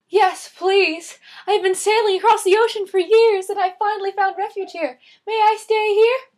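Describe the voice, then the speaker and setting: A woman does a squeaky, put-on character voice at an extremely high pitch, talking at a moderate pace. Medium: solo performance.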